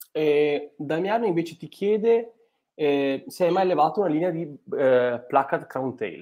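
Lively intonation marks this man's speech at a fairly slow pace. The background is quiet. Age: young. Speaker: biologist and fish pathologist; livestream host. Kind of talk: live stream interview. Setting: video call. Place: home room. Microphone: earbuds.

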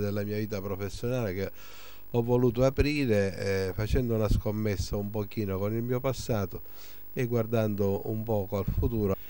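Dry with no echo, a man's fairly low voice has a dark, mellow tone. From Sicily. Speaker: surgeon and clinic director. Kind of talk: interview. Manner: hesitant, many fillers. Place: office. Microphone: handheld.

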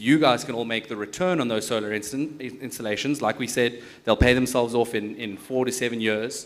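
Pitch varies in an ordinary way while the delivery keeps a fairly quick pace. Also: man. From South Africa. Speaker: tech company founder. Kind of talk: panel discussion. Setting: stage with audience. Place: hall. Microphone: handheld.

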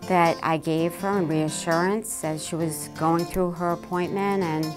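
With music in the background, a woman talks at a fairly slow pace and a fairly low pitch. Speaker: volunteer patient navigator. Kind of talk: interview answer.

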